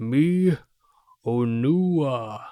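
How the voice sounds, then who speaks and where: A man does a put-on character voice at a medium pitch. His intonation is lively. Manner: slow and clear, deliberate.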